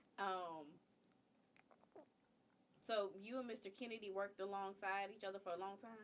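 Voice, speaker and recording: A woman at medium pitch, with fairly even intonation, a moderate pace, and long, frequent pauses. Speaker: interviewer. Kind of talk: interview questions.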